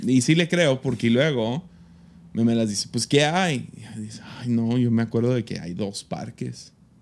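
At a fairly slow pace, a man speaks in a plain, everyday voice at medium pitch with ordinary pitch variation, captured in a very clean recording with a silent background. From Mexico. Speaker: podcast host and pastor. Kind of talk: casual chat.

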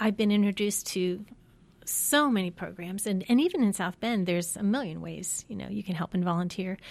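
A woman talks with an American accent in a normal speaking voice, a medium pitch, a fairly quick pace and ordinary pitch variation. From US Midwest (Ohio, Pennsylvania, Michigan). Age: 50s. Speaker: alumna, mother of four. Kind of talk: interview, personal faith story. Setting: studio.

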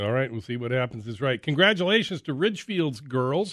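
A man's normal speaking voice at medium pitch, with lively intonation. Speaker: radio host. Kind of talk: casual radio sports talk. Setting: radio studio.

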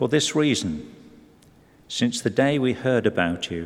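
A man's very slow speech is accompanied by noticeable background noise. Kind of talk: scripture reading aloud. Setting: church.

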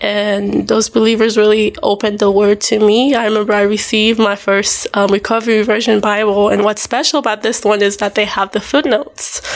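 With noticeable background noise behind her, a woman talks at a fairly quick pace in a monotone, flat intonation, with very even loudness and hardly any pauses. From Haiti. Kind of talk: testimony in interview.

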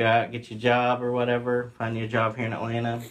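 Over a quiet background, a man with an American accent talks at a fairly quick pace in an unremarkable speaking voice of medium pitch. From West Virginia. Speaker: insurance sales manager. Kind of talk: casual interview.

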